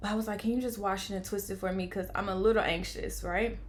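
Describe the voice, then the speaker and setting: The delivery is very fast. Audible room echo surrounds it. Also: woman. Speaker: vlogger. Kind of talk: personal storytelling. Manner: animated.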